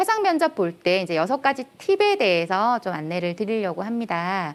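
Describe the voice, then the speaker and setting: A woman's voice with very wide pitch swings. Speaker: career lecturer, company head. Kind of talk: lecture. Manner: loud.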